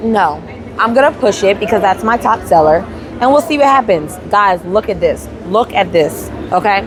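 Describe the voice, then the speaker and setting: A woman speaks at a moderate pace in a room with audible echo while music plays in the background. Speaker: handmade business owner and vlogger. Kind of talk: casual vlog talk. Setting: at a craft fair booth. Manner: animated, many repetitions and restarts.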